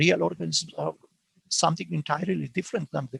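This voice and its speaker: Recorded dry and close with no echo, a man's voice shows vocal fry and very wide pitch swings. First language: not English. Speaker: philosophy professor. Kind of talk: academic Q&A answer. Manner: halting, many self-corrections.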